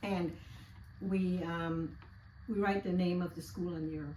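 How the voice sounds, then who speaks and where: A somewhat breathy woman's voice, fairly low-pitched with a dark, mellow tone and fairly even intonation, at a fairly slow pace with long, frequent pauses and audible room echo. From Guyana. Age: 70s. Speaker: interviewee. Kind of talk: casual interview, life story.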